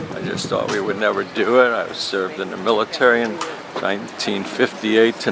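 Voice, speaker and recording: A man's medium-pitched voice with an American accent at a moderate pace, over noticeable background noise. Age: 70s. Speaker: military veteran and peace activist. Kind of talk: interview testimony. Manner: halting.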